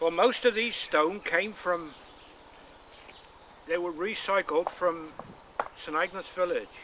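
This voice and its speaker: Against noticeable background noise, a man with a Cornish accent and a high pitch talks fairly slowly with ordinary pitch variation and long, frequent pauses. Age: 70s. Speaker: stone wall builder. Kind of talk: interview. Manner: halting.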